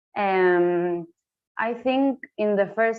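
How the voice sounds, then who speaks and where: Her voice sits at a medium pitch for a woman, with ordinary pitch variation. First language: Spanish. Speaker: breaking dance teacher. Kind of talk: video call discussion. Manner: halting.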